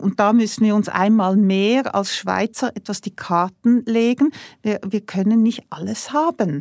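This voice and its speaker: Speaking very slowly, a woman has a fairly high pitch and a dark, mellow tone, with a dry, close sound and no echo. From Switzerland. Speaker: industrial CEO. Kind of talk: interview.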